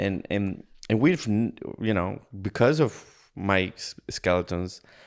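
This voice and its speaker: On a very clean recording with a silent background, a man speaks very slowly at a fairly low pitch with ordinary pitch variation. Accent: Spanish. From Ecuador. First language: Spanish. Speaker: podcast guest. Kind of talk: casual interview chat. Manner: halting, many repeated words.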